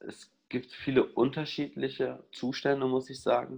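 Against a quiet background, a man of medium pitch talks at a very slow pace with vocal fry. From Ruhr area, Germany. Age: 20s. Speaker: psychologist and therapist. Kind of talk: interview conversation.

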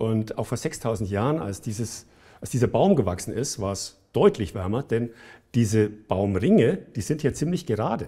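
A man at medium pitch, somewhat breathy, with a dark, mellow tone, lively intonation and a moderate pace, in a very clean recording with a silent background. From Bavaria, Germany. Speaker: engineer and entrepreneur. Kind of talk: interview.

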